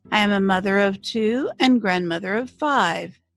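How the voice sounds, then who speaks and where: A woman at a very slow pace, on a very clean recording with a silent background. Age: 70s. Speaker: essay writer reading her own essay. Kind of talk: reading aloud.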